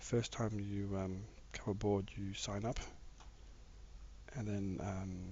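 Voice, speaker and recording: A man with a fairly low pitch speaks at a very slow pace, leaving long, frequent pauses. His somewhat breathy voice is monotone and flat, with audible room echo. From Australia, Victoria. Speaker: gaming live streamer. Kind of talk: casual live stream chat while gaming. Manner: halting, many fillers.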